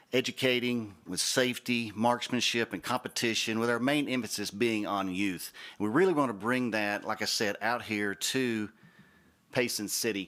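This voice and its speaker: In a Southern US accent, a man with a bright, sharp tone speaks at a medium pitch and a moderate pace with ordinary pitch variation on a very clean recording with a silent background. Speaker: shooting range representative. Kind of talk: project presentation at public meeting.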